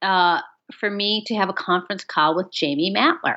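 With an Upper Midwest accent, a woman speaks in an animated tone with lively intonation. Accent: Upper Midwest American. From US Midwest, northern Michigan. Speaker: author and audiobook narrator. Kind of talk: casual chat.

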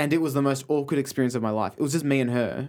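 Speaking at a very fast pace with an Australian accent, the voice comes through on a very clean recording against a silent background. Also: man. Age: 20s. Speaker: comedy writer. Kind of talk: casual chat.

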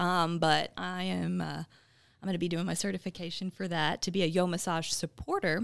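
In a very clean recording with a silent background and a dry, close sound with no echo, a woman talks at a fairly quick pace, her fairly low voice flat and monotone with vocal fry. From Texas, Dallas area. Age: 20s. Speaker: TV journalist and bodybuilding competitor. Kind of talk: casual interview.

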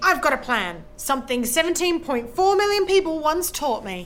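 A woman's raised, projected, high-pitched voice with very wide pitch swings and noticeable background noise. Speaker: stand-up comedian. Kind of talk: stand-up. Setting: stage with audience.

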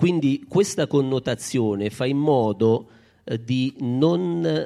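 Lively intonation runs through this man's dark, mellow voice, pitched at a medium level. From Basilicata, Italy (Baragiano). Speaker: association president. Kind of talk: public speech at event. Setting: outdoor stage in town square.

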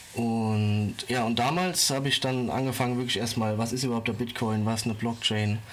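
Over noticeable background noise and audible room echo, a man at medium pitch talks at a fairly quick pace with fairly even intonation. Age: 20s. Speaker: finance social media creator and public sector employee. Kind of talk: casual interview. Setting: remote internet recording.

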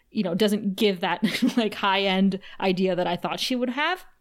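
The pitch moves in an ordinary way as someone reads aloud plainly.

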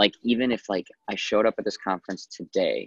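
A man talks at a moderate pace, the sound dry and close with no echo. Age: 30s. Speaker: keynote speaker. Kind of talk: casual chat. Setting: phone call.

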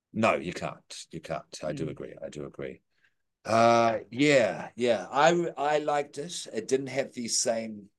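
Speaking at a fairly slow pace, a man lets his loudness rise and fall in big swings. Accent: New Zealand. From New Zealand. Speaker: podcast host. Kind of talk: casual chat. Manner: hesitant, many fillers.

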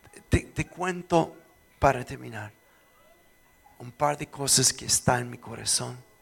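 A man talks at a fairly slow pace with big swings in loudness. Music plays in the background. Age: 60s. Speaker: pastor. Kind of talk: sermon. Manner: animated.

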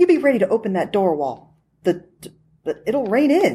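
The background stays quiet. Over it, text is read aloud in a natural voice.

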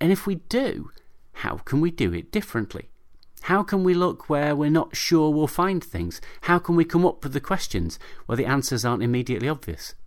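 On a very clean recording with a silent background, a man with a normal speaking voice and a fairly high pitch talks at a fairly quick pace with lively intonation. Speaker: podcast host and paediatric doctor. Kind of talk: scripted-style podcast narration. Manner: informal, humorous.

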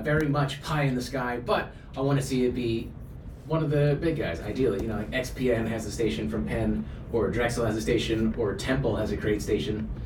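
There is audible room echo and noticeable background noise as a man speaks at a fairly quick pace with ordinary pitch variation. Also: medium pitch for a man. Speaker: university staff and club advisor. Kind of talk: interview.

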